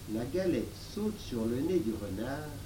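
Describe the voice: Someone reads aloud in a plain way.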